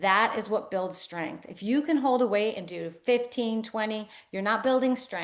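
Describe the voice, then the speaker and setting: A woman's fairly high, animated voice at a moderate pace, with ordinary pitch variation and big swings in loudness. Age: 60s. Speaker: physical therapist, clinic owner. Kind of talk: interview.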